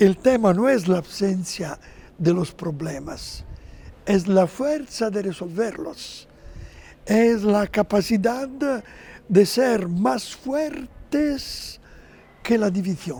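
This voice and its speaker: Speaking very slowly with long, frequent pauses, a man with an Italian accent has a high pitch, a dark, mellow tone and lively intonation. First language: Italian (speaking Spanish). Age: 70s. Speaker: interview guest, religious figure. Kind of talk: TV interview. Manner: halting.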